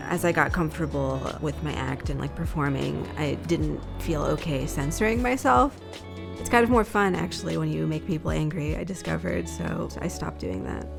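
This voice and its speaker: A woman with an American accent speaks at a moderate pace, with music in the background. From New Jersey. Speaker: stand-up comedian. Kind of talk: interview answer.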